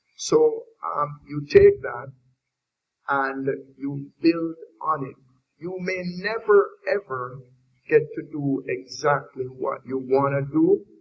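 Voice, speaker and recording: A man with a Jamaican accent speaks at a very slow pace, leaving long, frequent pauses. His loudness swings widely. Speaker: industry panelist. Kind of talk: panel discussion.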